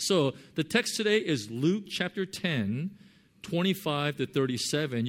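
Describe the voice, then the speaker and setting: This man, speaking in a Californian accent, has a fairly high pitch and very wide pitch swings. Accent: Californian American English. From Southern California. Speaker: pastor. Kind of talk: sermon. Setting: church. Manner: halting, many fillers.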